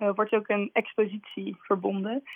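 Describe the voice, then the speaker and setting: With fairly even intonation, a woman speaks at medium pitch and a fairly slow pace. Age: 20s. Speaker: writer. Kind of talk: radio interview. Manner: hesitant, many fillers.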